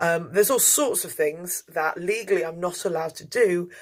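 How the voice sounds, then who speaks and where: This woman speaks with an English accent. Her pace is moderate. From England, outskirts of London. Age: 30s. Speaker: tour guide and lecturer. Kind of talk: interview. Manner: hesitant, many fillers.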